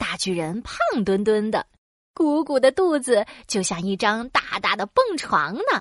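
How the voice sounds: It is a natural reading voice against a quiet background.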